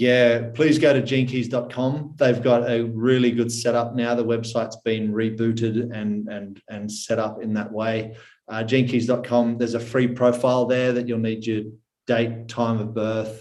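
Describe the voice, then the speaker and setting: A man with an Australian accent, medium in pitch, at a moderate pace, in a flat monotone, with audible room echo. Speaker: personal development mentor. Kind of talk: podcast interview.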